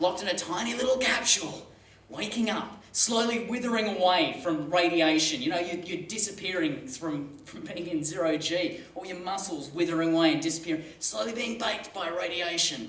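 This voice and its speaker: Amid noticeable background noise and audible room echo, a man with an Australian accent and a high pitch talks with ordinary pitch variation and hardly any pauses. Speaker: comedian and Mars mission applicant. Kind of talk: stand-up comedy talk. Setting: stage with audience. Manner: fast; animated.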